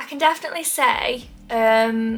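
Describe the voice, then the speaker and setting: A woman's voice with music in the background. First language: not English. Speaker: lifestyle YouTuber. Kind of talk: casual chat to camera. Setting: sitting in front of camera at home.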